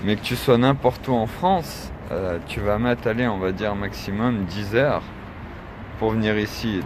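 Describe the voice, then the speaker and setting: A man speaks at a fairly low pitch. There is noticeable background noise behind him. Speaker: activist vlogger. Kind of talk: livestream monologue. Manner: casual.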